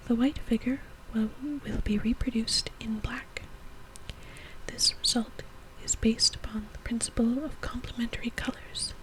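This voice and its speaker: A woman whispering at a moderate pace, with long, frequent pauses and noticeable background noise. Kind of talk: reading aloud from an antique science book. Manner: soft-spoken.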